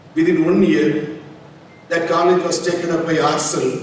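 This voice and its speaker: Noticeable background noise and audible room echo accompany a man. His voice is fairly high in pitch. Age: 70s. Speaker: medical college founder. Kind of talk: speech at ceremony.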